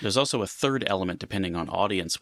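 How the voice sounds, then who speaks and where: A man speaks with a very deep, low pitch. The recording is very clean, with a silent background. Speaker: technical communicator, panel moderator, drummer. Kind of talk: interview answer.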